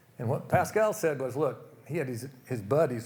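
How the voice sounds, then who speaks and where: Somewhat breathy and medium in pitch, this man talks in an American accent. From Oklahoma, US. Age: 70s. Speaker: retired business executive, speaker. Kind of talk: motivational talk. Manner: casual, conversational.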